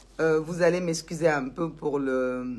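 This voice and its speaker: A woman speaks at a very slow pace. Her very deep, low pitch shows ordinary variation. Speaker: social media commentator. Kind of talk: live stream monologue. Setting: Facebook live video. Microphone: poor sound, at max volume.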